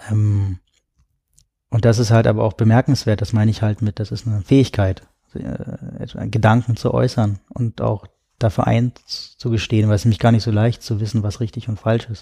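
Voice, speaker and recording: A man's dark, mellow, somewhat breathy voice, fairly low in pitch, with fairly even intonation, a moderate pace, and a dry, close sound with no echo. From Berlin, Germany. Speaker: writer and tech philosopher. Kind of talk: casual chat. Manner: halting.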